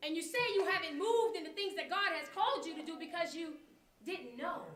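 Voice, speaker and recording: A woman speaks in a raised, projected voice with an extremely high pitch and a bright, sharp tone. Her intonation is lively and her pace fairly quick. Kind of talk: spoken word poetry performance. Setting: live performance before an audience. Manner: rhythmic, preaching.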